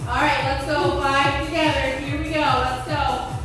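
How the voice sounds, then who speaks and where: Through strong room echo and clear music in the background, a woman speaks at a very slow pace with a high pitch. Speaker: fitness instructor. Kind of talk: workout class cueing. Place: gym.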